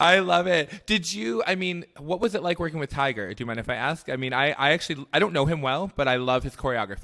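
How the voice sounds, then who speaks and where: Loud and animated, a man talks at a very fast pace with hardly any pauses, his tone bright and sharp and his pitch fairly high. His intonation is lively, and the recording is very clean with a silent background. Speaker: podcast host. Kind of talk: casual chat.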